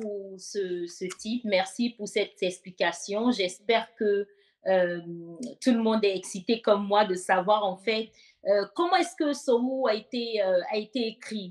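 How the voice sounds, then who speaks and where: This woman talks at a very slow pace. Her pitch is fairly high, with ordinary variation. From Côte d'Ivoire, Soubré area. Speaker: worship show host. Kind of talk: interview.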